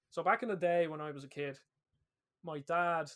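A man with an Irish accent speaks at a moderate pace. His pitch is fairly high and his intonation fairly even. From Ireland. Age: 20s. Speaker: podcast host. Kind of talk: casual chat.

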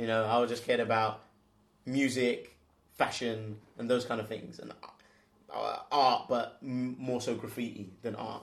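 A man with a London accent speaks at a fairly slow pace and medium pitch, monotone and flat in intonation, with long, frequent pauses. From southeast London, England. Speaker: co-founder of a swim club. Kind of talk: casual chat.

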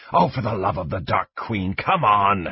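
A put-on character voice comes through with a growl. The pace is moderate. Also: man, fairly low pitch for a man. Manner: snarling.

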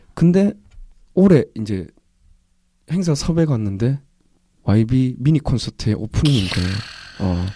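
The voice has a dark, mellow tone and very wide pitch swings. It moves at a fairly slow pace with long, frequent pauses. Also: man, medium pitch for a man. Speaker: indie band singer. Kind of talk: casual chat.

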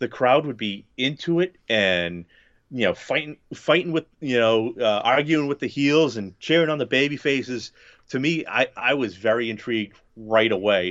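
Speaking at a moderate pace, a man with a plain, everyday voice uses lively intonation at a medium pitch. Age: 30s. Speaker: wrestling podcaster. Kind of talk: casual chat.

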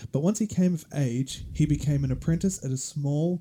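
In an Australian accent, a man speaks at medium pitch and a fairly slow pace, with lively intonation, a somewhat breathy delivery and a dark, mellow tone. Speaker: podcast host. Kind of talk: casual chat. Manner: casual, joking.

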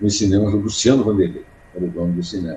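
The man's voice is somewhat breathy with a dark, mellow tone. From Brazil, Paraíba sertão (Uiraúna). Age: 70s. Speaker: journalist and poet. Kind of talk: interview.

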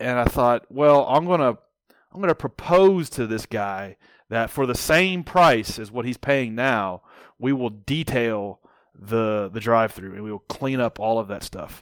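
A man speaks at a medium pitch and a fairly slow pace, with lively intonation, in a normal speaking voice. The sound is dry and close with no echo, on a very clean recording with a silent background. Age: 40s. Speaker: entrepreneur. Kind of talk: casual chat.

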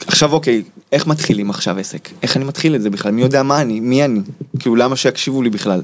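Over noticeable background noise, a man speaks at a very fast pace. His medium pitch shows ordinary variation. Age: 30s. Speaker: life coach teaching manifestation. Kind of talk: interview.

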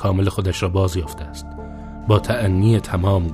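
Plain reading aloud, the intonation fairly even

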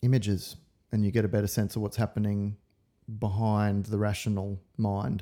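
In an Australian accent, a man speaks at a fairly low pitch with a dark, mellow tone and monotone, flat intonation. His loudness is very even, his pace moderate, and the recording very clean with a silent background. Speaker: acupuncturist and lecturer. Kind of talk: casual interview chat.

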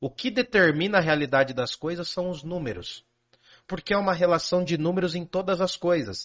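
This is a man speaking. His pitch is high. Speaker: philosophy teacher. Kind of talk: casual chat explaining philosophy. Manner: animated.

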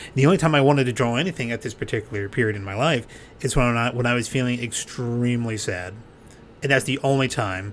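With ordinary pitch variation, the man speaks at a very fast pace. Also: medium pitch for a man. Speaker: podcast host and comedian. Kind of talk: casual interview chat.

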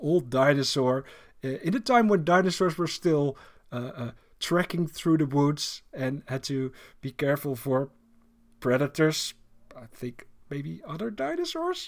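A fairly high-pitched man speaks with ordinary pitch variation. His loudness swings widely, broken by long, frequent pauses. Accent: Dutch. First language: Dutch. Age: 40s. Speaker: podcast host. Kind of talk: casual chat. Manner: halting.

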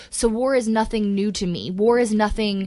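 In a normal speaking voice, the speaker keeps a moderate pace and fairly even intonation. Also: woman. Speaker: podcast co-host. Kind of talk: casual chat.

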